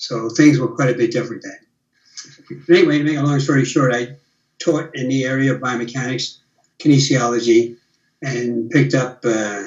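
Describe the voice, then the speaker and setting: A man's medium-pitched, somewhat breathy voice with fairly even intonation at a moderate pace. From USA. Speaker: retired biomechanist. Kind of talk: casual chat.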